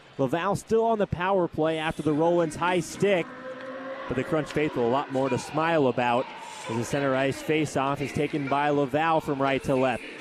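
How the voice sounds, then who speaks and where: A fairly high-pitched man with very even loudness, over noticeable background noise. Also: ordinary pitch variation. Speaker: hockey play-by-play broadcaster. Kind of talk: live sports radio play-by-play. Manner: fast, energetic.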